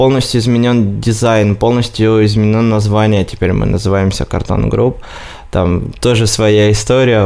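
A man speaks in a fairly low, flat monotone over noticeable background noise. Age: 20s. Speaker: marketing agency director. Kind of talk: interview.

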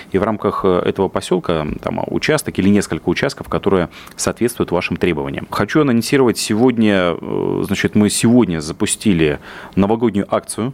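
A man speaks at a fairly quick pace in an ordinary speaking voice, his pitch fairly low. His intonation is lively and his loudness very even. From Russia, Yaroslavl region. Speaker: business development director. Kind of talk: radio interview.

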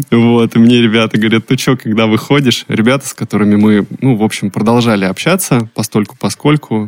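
In a plain, everyday voice, a man speaks at a fairly quick pace in a medium pitch, with very even loudness, fairly even intonation and hardly any pauses, recorded dry and close with no echo. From Russia, Saint Petersburg. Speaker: podcast producer, former car salesman. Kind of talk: casual chat.

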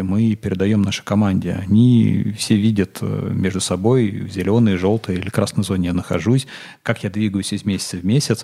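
A man talks at a fairly quick pace in a fairly low voice. His tone is dark and mellow, with fairly even intonation. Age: 30s. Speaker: entrepreneur, managing partner of retail chain. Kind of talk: casual interview chat. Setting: studio.

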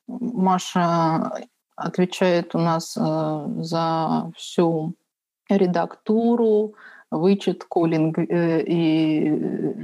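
A woman speaks at a fairly low pitch with a dark, mellow tone. The background is quiet. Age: 30s. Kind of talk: interview.

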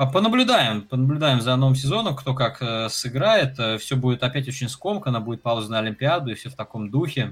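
Over background music, a man speaks at a fairly quick pace with medium pitch and lively intonation. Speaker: basketball podcast host. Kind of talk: casual chat. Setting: live stream. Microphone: crackling, distorted microphone.

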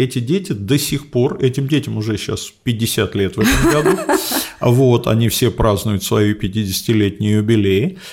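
Lively intonation from a somewhat breathy man at medium pitch and a fairly slow pace. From Moscow, Russia. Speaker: geography professor. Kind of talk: interview.

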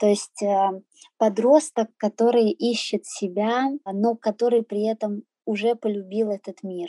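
A woman's very slow delivery, dark and mellow in tone, with fairly even intonation and a dry, close sound free of echo. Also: fairly high pitch for a woman. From Azerbaijan, raised in Russia. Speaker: henna artist living abroad. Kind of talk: interview. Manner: hesitant, many fillers.

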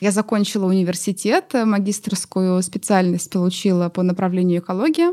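Her dark, mellow tone sits at a medium pitch. The woman talks at a moderate pace with fairly even intonation. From Russia, Nizhny Novgorod. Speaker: eco-activist. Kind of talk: interview.

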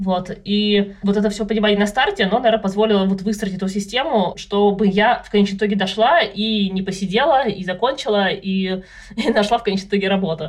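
In an ordinary speaking voice, a woman talks at a fairly quick pace and a medium pitch with fairly even intonation. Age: 30s. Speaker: data analyst, mother of three. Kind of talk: casual chat.

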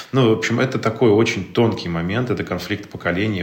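Audible room echo and noticeable background noise surround a man whose pitch varies in an ordinary way. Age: 30s. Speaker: digital entrepreneur and father. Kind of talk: casual chat.

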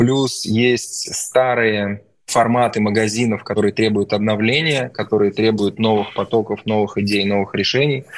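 A man with an ordinary speaking voice talks at a moderate pace and fairly low pitch, his loudness very even and his intonation fairly even. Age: 40s. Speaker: entrepreneur. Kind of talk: podcast interview.

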